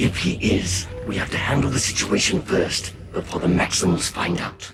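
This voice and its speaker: A man performs a cartoonish character voice at a moderate pace, pitched very deep and low. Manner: grave, authoritative.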